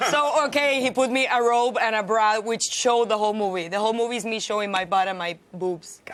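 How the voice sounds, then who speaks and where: Over noticeable background noise, a woman with a Spanish accent speaks fairly quickly with hardly any pauses, her fairly high voice showing ordinary pitch variation. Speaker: actress. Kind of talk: TV interview. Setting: TV studio.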